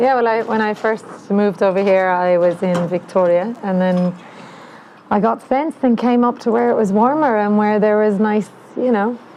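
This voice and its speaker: Over noticeable background noise, a woman with an Irish accent talks in a fairly high voice at very even loudness. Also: ordinary pitch variation, moderate pace. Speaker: touring musician. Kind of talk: casual chat.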